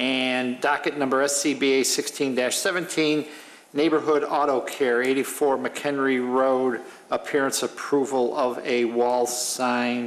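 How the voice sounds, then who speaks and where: A man speaks very slowly in a monotone, flat voice at a very even loudness. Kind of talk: formal meeting procedure. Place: hall. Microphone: podium.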